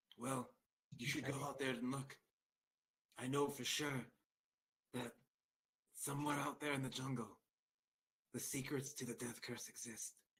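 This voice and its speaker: Putting on a raspy character voice, a man speaks at medium pitch and moderate pace in a monotone, flat intonation, with long, frequent pauses. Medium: actual play. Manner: imperious, tired.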